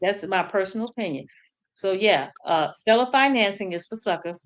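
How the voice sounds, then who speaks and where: Medium pitch and ordinary pitch variation from a woman with an unremarkable speaking voice. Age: 50s. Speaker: mobile home investor. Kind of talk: interview. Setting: livestream.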